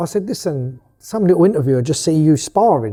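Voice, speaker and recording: Mumbling at a high pitch, a man uses lively intonation and a dark, mellow tone. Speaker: boxing promoter. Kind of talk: interview. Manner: casual, expletive-heavy.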